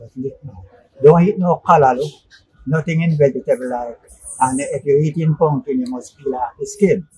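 A man with a fairly high pitch speaks at a moderate pace, his loudness swinging widely. His tone is dark, mellow and somewhat breathy, with ordinary pitch variation. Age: 60s. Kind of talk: interview answer.

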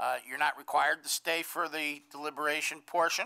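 Quiet surroundings and a man's voice at a moderate speed. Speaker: zoning board chair. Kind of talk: public meeting proceedings. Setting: meeting room with microphone and podium. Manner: formal. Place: meeting room. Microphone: podium.

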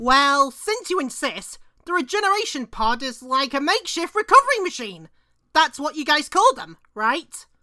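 A loud, high-pitched, put-on character voice, energetic and whiny, at a moderate pace on a very clean recording with a silent background. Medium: cartoon. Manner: loud, energetic, whiny.

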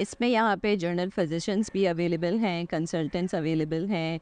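A woman talks at a moderate pace with a clear, smooth, slightly mellow tone. Her pitch is fairly low, and her intonation fairly even.

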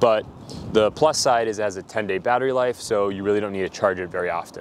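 Here a man is speaking. There is light background noise, and the sound is dry with no echo. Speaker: tech reviewer. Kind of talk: product review talk. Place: street. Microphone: lapel.

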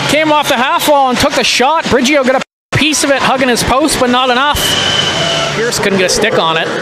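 Over loud background noise, a man with an extremely high pitch shouts in a raised, projected voice, his tone excited and his pitch varying in an ordinary way. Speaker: hockey play-by-play announcer. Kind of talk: live sports commentary, play-by-play call of a hockey game. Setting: arena broadcast, streamed online. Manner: rapid-fire, clipped play-by-play that swells into excited goal calls. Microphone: headset.

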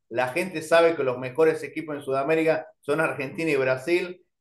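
A man with a fairly high voice talks in a fairly even tone, with audible room echo around him.

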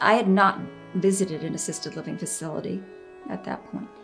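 A woman talks at a moderate pace while faint music sounds behind her. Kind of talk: interview answer. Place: home room.

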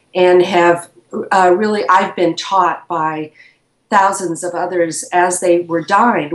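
A woman's fairly low-pitched voice at a fairly slow pace, with fairly even intonation and audible room echo. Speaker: interview guest. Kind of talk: interview answer. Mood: reflective, earnest. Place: home room. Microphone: video call.

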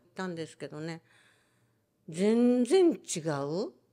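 In a Hiroshima accent, a dark, mellow voice moves through very wide pitch swings on a very clean recording with a silent background. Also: woman. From Hiroshima, Japan. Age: 90s. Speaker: atomic bomb survivor and storyteller. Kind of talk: testimony.

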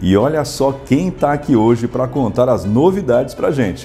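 Over faint music in the background, a man talks at a moderate pace with a medium pitch, ordinary pitch variation and very even loudness. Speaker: announcer / voice-over artist. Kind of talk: radio-style commercial read. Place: studio.

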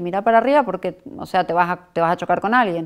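A woman's voice over a quiet background. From Argentina, Córdoba; Argentina. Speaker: mother of a teen model. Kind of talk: interview. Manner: hesitant, many fillers. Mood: calm, reflective. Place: studio.

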